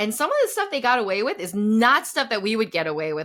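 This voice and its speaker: On a very clean recording with a silent background, a woman with a medium-pitched, bright and sharp voice talks at a fairly quick pace. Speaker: puppeteer, voice actor, and producer. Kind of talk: interview answer. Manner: lively, conversational.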